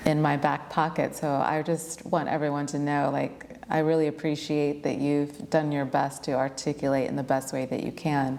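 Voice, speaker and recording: With hardly any pauses, a woman speaks at a moderate pace in a very deep, low voice that stays monotone and flat. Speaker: yoga teacher and interviewer. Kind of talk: casual interview conversation. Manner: fluent, flowing.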